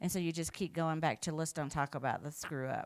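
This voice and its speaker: On a very clean recording with a silent background, a woman speaks in an ordinary speaking voice, fairly low in pitch, with ordinary pitch variation. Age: 60s. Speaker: keynote speaker, equity consultant. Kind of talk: conference keynote.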